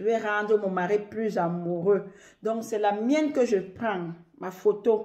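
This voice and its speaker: The recording is very clean, with a silent background. A woman with a dark, mellow tone and medium pitch speaks very slowly, her pitch varying in an ordinary way. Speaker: love ritual tips video maker. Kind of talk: tutorial.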